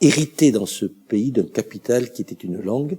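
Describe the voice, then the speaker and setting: A man's voice, dark and mellow in tone. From France. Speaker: local politician. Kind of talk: interview monologue. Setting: in front of a camera. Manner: hesitant, with frequent fillers and repetitions.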